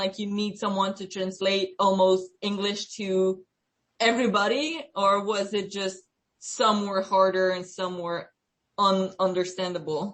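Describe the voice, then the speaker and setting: A Quebec accent at a fairly slow pace. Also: woman. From Quebec, Canada. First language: French. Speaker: student researcher. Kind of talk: research interview.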